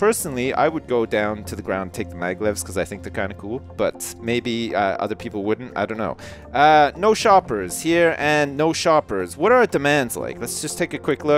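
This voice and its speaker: The voice swings very widely in pitch at a moderate pace, with hardly any pauses. Music plays in the background. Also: man, medium pitch for a man. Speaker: gaming commentator. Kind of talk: let's play commentary. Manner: casual, humorous.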